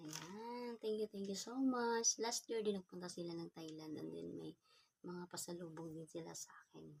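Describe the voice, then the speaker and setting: A soft-spoken woman at a fairly low pitch and moderate pace, with ordinary pitch variation and big swings in loudness. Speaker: vlogger. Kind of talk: unboxing vlog. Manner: casual.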